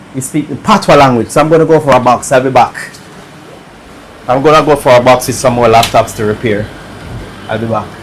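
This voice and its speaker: A man with a Jamaican accent talks at a very fast pace broken by long, frequent pauses, his medium pitch showing ordinary variation against noticeable background noise. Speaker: electronics repair streamer. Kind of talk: live stream commentary while repairing. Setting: live stream. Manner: casual, relaxed.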